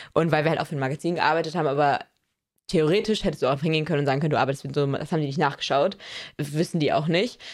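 A woman at a very fast pace with very deep, low pitch and fairly even intonation, in a very clean recording with a silent background. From small town in Germany. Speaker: fashion podcast co-host. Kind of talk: casual chat. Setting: recording together in Paris.

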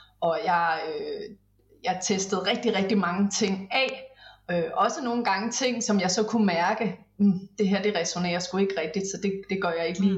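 Noticeable background noise runs under a woman's fairly even intonation as she talks at a moderate tempo. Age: 40s. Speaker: business mentor. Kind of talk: casual interview chat.

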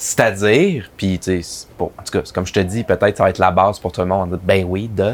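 Speaking in a Quebec accent, a man with a fairly low pitch moves at a fairly quick pace with hardly any pauses and fairly even intonation. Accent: Québécois French. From Quebec, Abitibi-Témiscamingue. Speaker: advertising copywriter. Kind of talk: casual interview.

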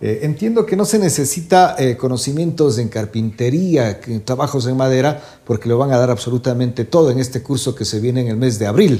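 Somewhat breathy, with a dark, mellow tone, a man speaks quickly at a medium pitch with lively intonation. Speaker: music show host. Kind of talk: interview. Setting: studio.

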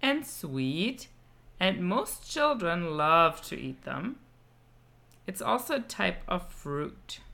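Speaking at a very slow pace with long, frequent pauses, a woman uses a fairly low pitch that swings very widely, a bright, sharp tone with vocal fry, and big swings in loudness. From Germany. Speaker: German teacher for children. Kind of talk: children's language lesson. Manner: slow and clear, with repetitions.

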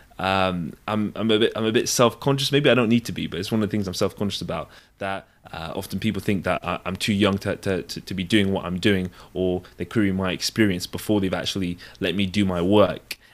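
On a very clean recording with a silent background, a man with a southern English accent talks at a fairly quick pace with a fairly low pitch and fairly even intonation. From England (London, then Devon). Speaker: physician. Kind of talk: casual interview. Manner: halting.

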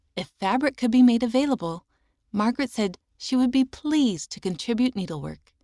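With a dark, mellow tone and a fairly high pitch, this woman talks fairly quickly and with lively intonation on a very clean recording with a silent background. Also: dry, close sound with no echo. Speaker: audio magazine reader. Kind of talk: reading aloud.

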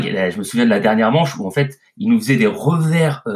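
This man's voice is somewhat breathy. His pitch swings very widely. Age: 40s. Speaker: tennis commentator. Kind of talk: casual chat.

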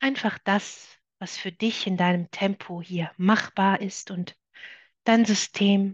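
In a dry, close recording with no echo, a woman speaks at a very slow pace, somewhat breathy, with fairly even intonation. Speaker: meditation guide. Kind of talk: guided meditation. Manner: slow, soft, calming, gentle pacing.

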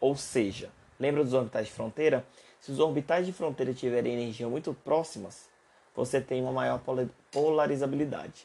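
A man with a Brazilian accent speaks at a medium pitch and moderate pace, with ordinary pitch variation. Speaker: university chemistry lecturer. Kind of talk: lecture. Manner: halting.

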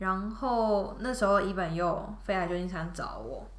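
Noticeable background noise and audible room echo surround a woman's voice. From Taiwan. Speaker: product manager. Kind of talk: casual chat. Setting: studio.

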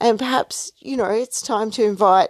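Recorded with a dry, close sound with no echo and a quiet background, a woman speaks with an Australian accent. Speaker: podcast host, artist. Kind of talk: solo podcast monologue. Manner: hesitant, many fillers.

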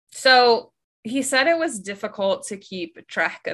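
A woman with very wide pitch swings at a fairly slow pace, on a very clean recording with a silent background. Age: 20s. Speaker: podcast co-host, biologist. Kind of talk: casual chat; storytelling.

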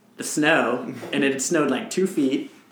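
Noticeable background noise runs through the clip. A man speaks at a moderate pace. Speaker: co-host, runner. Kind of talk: casual chat.

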